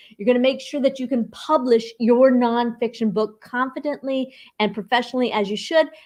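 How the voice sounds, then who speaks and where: At a fairly quick pace, the woman talks in a high-pitched voice. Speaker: book editor hosting a live webinar. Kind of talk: live online workshop presentation. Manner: enthusiastic.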